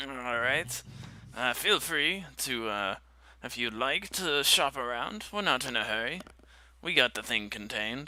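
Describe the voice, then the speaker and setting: This put-on character voice runs at a moderate pace. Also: man, medium pitch for a man. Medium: actual play. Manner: hearty, casual.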